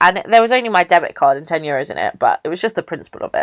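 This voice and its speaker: A woman with an English accent speaks at a medium pitch in an animated tone. The sound is dry and close with no echo. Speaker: YouTuber. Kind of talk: storytelling vlog. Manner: loud.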